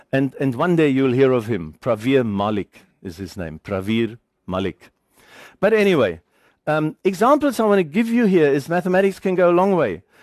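A man with a German accent speaks at a fairly high pitch and a moderate pace, his pitch swinging very widely. The sound is dry and close with no echo, over a quiet background. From Germany, then South Africa from age 15. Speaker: engineering lecturer. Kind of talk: lecture.

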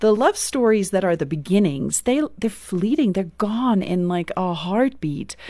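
In a South African accent, a woman talks at a moderate pace with very wide pitch swings. The background is quiet. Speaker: author and speaker. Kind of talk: interview conversation.

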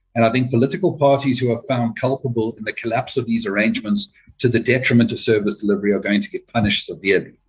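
Somewhat breathy and medium in pitch, a man talks at a very fast pace with hardly any pauses. His pitch varies in an ordinary way. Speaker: party chairperson. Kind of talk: interview.

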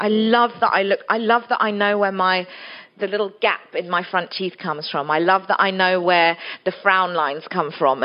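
Speaking at a moderate pace with an English accent, a woman uses a medium pitch and ordinary pitch variation. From England. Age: 40s. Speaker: author. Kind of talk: festival talk interview.

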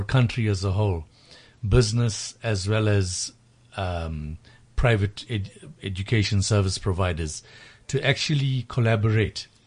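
Over a quiet background, a man speaks slowly-ish at a fairly slow pace, his fairly low voice somewhat breathy with ordinary pitch variation. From South Africa, Durban (KZN). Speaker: tutoring company founder. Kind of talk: radio interview. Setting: studio. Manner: hesitant, many fillers.

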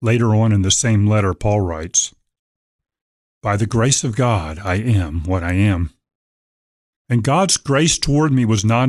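In an unremarkable speaking voice, a man with an American accent talks at medium pitch and a moderate pace, with ordinary pitch variation and very even loudness. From Virginia, Norfolk. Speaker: pastor. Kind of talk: sermon excerpt; radio interview.

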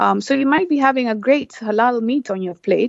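A woman speaks with a Kenyan coastal accent and ordinary pitch variation. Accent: Kenyan coastal (Swahili) English. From Kenya, Lamu coast. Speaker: travel business founder. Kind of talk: radio interview. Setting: phone line. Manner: halting, many fillers.

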